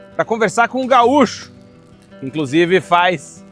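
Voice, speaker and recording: Background music accompanies speech delivered at a fairly slow pace. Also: man. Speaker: travel and emigration channel host. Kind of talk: video intro to camera.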